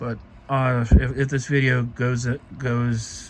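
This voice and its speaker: A man talks in a somewhat breathy voice. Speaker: cosplay hobbyist vlogger. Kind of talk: casual product showcase vlog. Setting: late night at home, recording himself. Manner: halting, with stutters and pauses.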